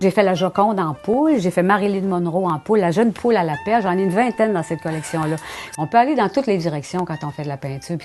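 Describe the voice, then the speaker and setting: A woman at a very fast pace with music in the background. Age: 60s. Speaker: painter. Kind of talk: interview monologue. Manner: conversational with hesitations.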